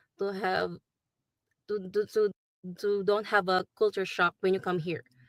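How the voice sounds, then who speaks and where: A woman with a Filipino accent speaks at medium pitch in a monotone, flat intonation, with a dry, close sound and no echo. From Philippines. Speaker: nurse. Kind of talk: interview testimony. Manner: halting, many fillers.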